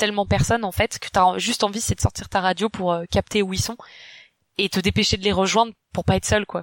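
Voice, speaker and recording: A woman speaks at a medium pitch and a fairly quick pace, with fairly even intonation. The recording is very clean and dry, close-miked with a silent background and no echo. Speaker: YouTuber and UX designer. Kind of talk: casual chat.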